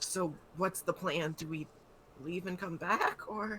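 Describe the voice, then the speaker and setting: A put-on character voice comes through raspy and at a middle pitch. It moves at a fairly slow pace over clear background noise. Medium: actual play.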